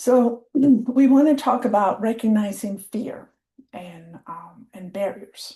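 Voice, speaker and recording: A woman with a fairly high pitch and ordinary pitch variation speaks at a very slow pace, her tone dark and mellow. Her voice is somewhat breathy, with big swings in loudness. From Colima, Mexico. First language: Spanish. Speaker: program and project manager. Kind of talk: training webinar presentation.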